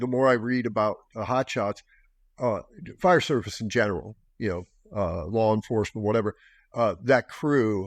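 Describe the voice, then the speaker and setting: A man speaks in a normal speaking voice at medium pitch and a moderate pace, with ordinary pitch variation, a dry, close sound with no echo, and a quiet background. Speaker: podcast host, military veteran. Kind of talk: casual conversation.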